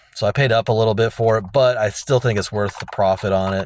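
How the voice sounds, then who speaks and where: Against noticeable background noise, a man talks at a very fast pace with a fairly low pitch. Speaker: toy reseller vlogger. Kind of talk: casual vlog talk. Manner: hesitant, many fillers.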